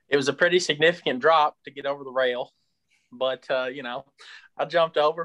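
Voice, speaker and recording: Over a dry, close sound with no echo, a man talks at a very fast pace. His tone is bright and sharp, and his pitch varies in an ordinary way. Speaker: sports podcast co-host. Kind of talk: casual sports talk.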